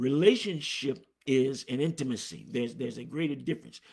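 A man with vocal fry at a moderate pace, over a quiet background. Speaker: preacher. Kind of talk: sermon. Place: office. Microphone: phone near.

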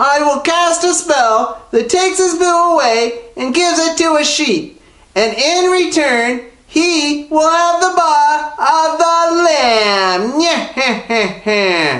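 A female-sounding voice in a put-on character voice, high in pitch and at a very slow pace. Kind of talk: comic children's storytelling. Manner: gleeful, villainous.

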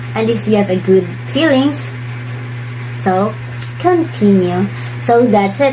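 A very slow pace over noticeable background noise. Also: woman. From Philippines. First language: Bisaya. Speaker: vlogger. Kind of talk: vlog monologue giving advice. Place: home room. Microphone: phone near.

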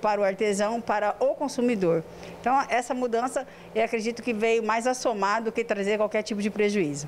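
Here a woman speaks at a fairly quick pace with ordinary pitch variation. Light background noise can be heard. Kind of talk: interview answer. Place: office. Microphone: handheld.

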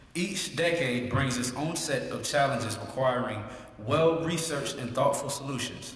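This man's voice sits fairly high, with an American accent and ordinary pitch movement at a moderate pace. Some room echo is audible, along with light background noise. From US South. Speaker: student and master of ceremonies. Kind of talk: emceeing a contest. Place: hall. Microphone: podium.

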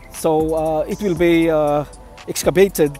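A man's voice in fairly even intonation, dry with no echo, over faint music in the background. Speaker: site-visit vlogger. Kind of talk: casual vlog commentary. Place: street. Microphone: phone near.

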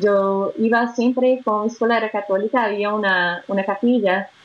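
With a Brazilian accent, a woman speaks at a fairly slow pace. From Brazil, Belo Horizonte. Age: 20s. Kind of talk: interview testimony. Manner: halting. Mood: warm, smiling. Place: home room. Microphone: video call.

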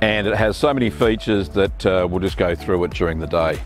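This man speaks at a fairly low pitch in a dry sound with no echo, with clear music in the background. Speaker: car owner vlogger. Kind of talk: casual vlog chat. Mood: pleased, relaxed. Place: open country. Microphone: lapel.

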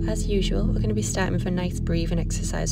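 Over music in the background, a woman talks at a very fast pace in a dry sound with no echo. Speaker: yoga teacher. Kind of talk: guided yoga instruction. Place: garden.

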